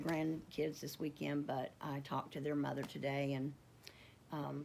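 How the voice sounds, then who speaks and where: A woman's very deep, low voice in a Southern US accent, at a moderate pace with flat, monotone intonation. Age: 50s. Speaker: homesteading vlogger. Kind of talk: casual vlog. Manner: halting, with stutters and fillers.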